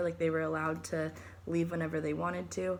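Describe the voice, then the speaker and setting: Audible room echo follows a woman as she talks fairly quickly. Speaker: student presenting a book report. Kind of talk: recorded class presentation. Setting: recording at home. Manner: halting, many fillers.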